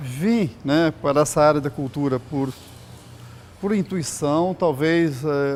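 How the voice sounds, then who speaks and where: A man speaks at a very slow pace, his voice fairly high in pitch. His pitch varies in an ordinary way. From Brazil, Espírito Santo (Vila Velha). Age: 60s. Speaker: sculptor. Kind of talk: interview testimony. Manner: casual, halting with fillers.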